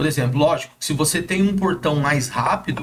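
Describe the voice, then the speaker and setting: A man speaks at a moderate pace. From Brazil, São José dos Campos (São Paulo state). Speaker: gate automation installer and social media influencer. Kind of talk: interview. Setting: studio. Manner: casual, hesitant with filler words.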